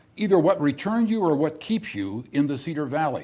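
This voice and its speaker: A man with a Midwestern American accent speaks with lively intonation, a fairly high pitch, a dark, mellow tone and some vocal fry. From US Midwest. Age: 70s. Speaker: TV talk show host. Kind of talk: interview.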